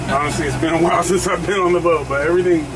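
A man talks at a fairly quick pace through loud background noise. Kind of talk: casual vlog chat. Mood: relaxed, casual. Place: boat. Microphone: phone near.

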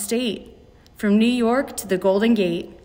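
Over noticeable background noise, a woman speaks in a dramatic tone at a moderate pace. Her pitch is fairly high and varies in an ordinary way. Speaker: mystery reader. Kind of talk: children's poem reading aloud, playful and theatrical. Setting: school PA system. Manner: dramatic, sing-song, building pace through the lists.

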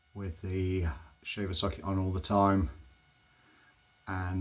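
A man with a very deep, low pitch speaks at a very slow pace. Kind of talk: casual product demonstration. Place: bathroom. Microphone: phone near.

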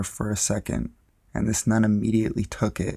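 Recorded very cleanly with a silent background, a man talks in a normal speaking voice at a fairly low pitch. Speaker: narrator of true scary stories.

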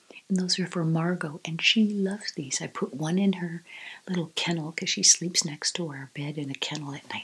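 A soft-spoken woman with a gentle tone, fairly low pitch, and fairly even intonation. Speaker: vlogger. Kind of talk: casual vlog chat. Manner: soft-spoken, gentle low-volume ASMR voice.

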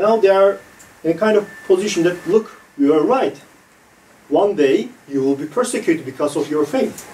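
This man's voice sits at a high pitch and swings very widely up and down. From Turkey. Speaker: executive director, moderator; moderator. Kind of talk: moderating a roundtable. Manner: hesitant, many fillers. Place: meeting room. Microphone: camera far.

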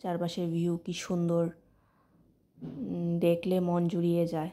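A woman speaks in a fairly low pitch. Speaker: vlogger. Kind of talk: casual vlog chat. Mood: pleased, relaxed. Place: car. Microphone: phone near.

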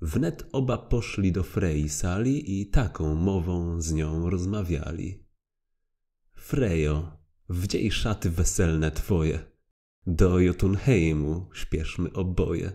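A man with a very deep, low pitch and a dark, mellow tone speaks at a very slow pace in a dramatic, solemn tone, with ordinary pitch variation. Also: very clean recording, silent background. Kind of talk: poem narration; audiobook reading aloud. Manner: rhythmic, measured, dramatic; formal, solemn storytelling.

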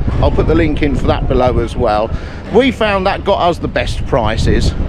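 Noticeable background noise behind a man's medium-speed speech, dry and without echo. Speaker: travel vlogger. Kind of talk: casual vlog chat. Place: waterside. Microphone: phone near.

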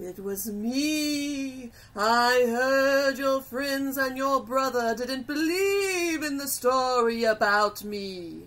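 A high-pitched, put-on character voice delivers the lines at a very slow pace with hardly any pauses. The tone is menacing. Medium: audio drama. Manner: menacing, mischievous.

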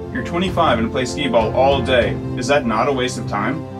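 The speech moves at a fairly quick pace with clear music in the background. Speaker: comedy sketch actor. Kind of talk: interview question.

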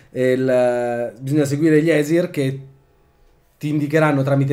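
This man has a dark, mellow tone. He keeps a moderate pace and fairly even intonation. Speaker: role-playing game player. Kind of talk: tabletop role-playing game session. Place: home room. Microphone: camera far.

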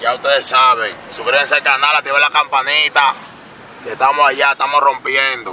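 Against light background noise, a man with a fairly high voice and a Dominican accent is heard in a dry sound with no echo. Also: moderate pace. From Dominican Republic. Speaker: vlogger and rapper; vlogger. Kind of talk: casual vlog. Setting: in a car. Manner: animated. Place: car. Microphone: camera far.

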